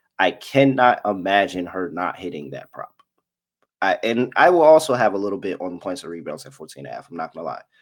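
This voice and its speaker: On a very clean recording with a silent background, a man speaks in a fairly low pitch. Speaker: sports betting show host. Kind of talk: sports betting analysis monologue. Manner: animated; occasional stumbles.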